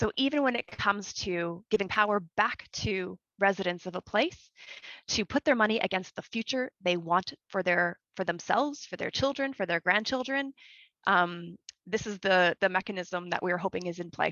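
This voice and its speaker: An ordinary speaking voice from a woman with a Canadian accent, medium in pitch, with ordinary pitch variation and a moderate pace. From Canada. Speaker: community manager, regenerative agriculture. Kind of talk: conference Q&A answer. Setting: video call.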